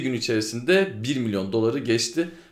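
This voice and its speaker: A man talks at a moderate pace with lively intonation, and audible room echo surrounds his voice. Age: 20s. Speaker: gaming podcast co-host. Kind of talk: casual chat.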